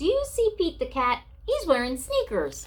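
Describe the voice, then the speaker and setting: Putting on a squeaky character voice at an extremely high pitch, a woman speaks at a moderate pace. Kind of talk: read-aloud picture book. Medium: read story.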